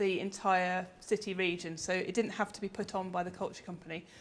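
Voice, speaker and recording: A woman with an English accent. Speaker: researcher and conference speaker. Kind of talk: conference presentation. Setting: conference with audience. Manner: hesitant, many ums.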